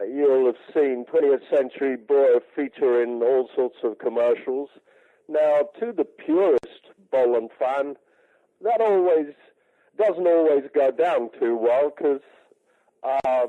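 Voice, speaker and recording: A man with an English accent and a fairly high pitch, very slow in pace, very even in loudness, with ordinary pitch variation. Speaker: music rights manager. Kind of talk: radio interview. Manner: halting, many fillers.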